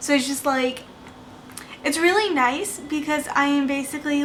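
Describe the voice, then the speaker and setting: A soft-spoken woman with a high pitch at a moderate pace, amid noticeable background noise and audible room echo. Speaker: budgeting vlogger. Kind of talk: casual chat. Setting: home at night.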